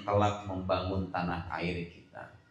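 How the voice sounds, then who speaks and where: There is audible room echo as a man speaks. His pace is fairly slow and his intonation fairly even. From Indonesia, Sukabumi (West Java), moved to Tangerang. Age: young. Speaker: Islamic preacher. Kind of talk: school talk show. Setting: school hall with student audience. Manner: casual, conversational.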